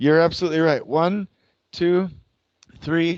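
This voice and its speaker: The man's pitch is fairly high, with fairly even intonation. The sound is dry and close, without echo. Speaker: construction scheduling consultant. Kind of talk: lecture. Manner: slow; interactive, asks audience questions.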